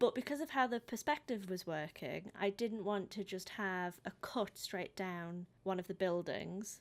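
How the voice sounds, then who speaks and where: A woman with a British accent, medium pitch and ordinary pitch variation. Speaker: painting hobbyist vlogger. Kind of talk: voice-over narration of timelapse. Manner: words end abruptly; hesitant, many pauses.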